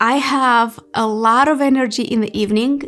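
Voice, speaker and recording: At a moderate pace, a woman speaks with a high pitch and lively intonation. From Moldova. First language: Romanian. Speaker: YouTuber. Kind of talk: casual Q&A monologue.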